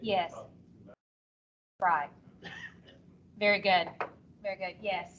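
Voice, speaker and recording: Using a monotone, flat intonation at medium pitch, a woman talks at a very slow pace with long, frequent pauses. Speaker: teacher trainer. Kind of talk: workshop presentation. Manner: loud; talkative.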